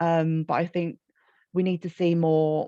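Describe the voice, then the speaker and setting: Moderate pace in a dry, close sound with no echo, against a quiet background. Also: woman. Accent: Birmingham. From Birmingham, England. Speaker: children's author. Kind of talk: panel discussion.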